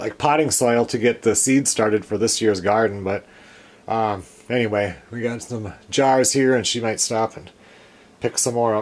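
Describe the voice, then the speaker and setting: A man at a moderate pace, his intonation fairly even. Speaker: homesteader vlogger. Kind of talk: casual vlog chat. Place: home room.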